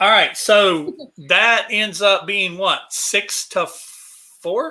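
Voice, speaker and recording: In a Southern US accent, the speaker goes at a very slow pace on a very clean recording with a silent background. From American South. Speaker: show host taking audience comments.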